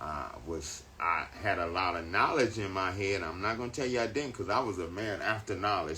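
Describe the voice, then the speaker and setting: A man talks at a moderate pace in a bright, sharp tone, with audible room echo around him. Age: 60s. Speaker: spiritual teacher. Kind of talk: casual chat.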